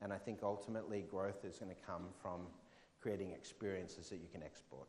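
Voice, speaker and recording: With an Australian accent, a man speaks at a fairly quick pace in a fairly low pitch with fairly even intonation, and audible room echo is present. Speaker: fintech keynote speaker. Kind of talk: conference talk with audience Q&A.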